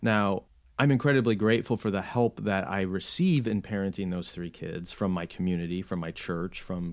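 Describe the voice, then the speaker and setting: A man with a normal speaking voice talks in an American accent at a fairly low pitch. His pace is fairly quick, with ordinary pitch variation. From US Midwest, Chicago suburbs. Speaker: podcast host and author on theology. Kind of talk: interview conversation. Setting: home office, remote call.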